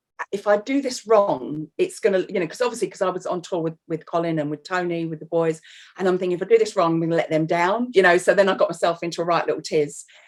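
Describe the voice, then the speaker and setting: Talking at a very fast pace with hardly any pauses, a woman with a London accent uses a medium pitch and ordinary pitch variation. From North London, England. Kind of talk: casual chat. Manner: animated.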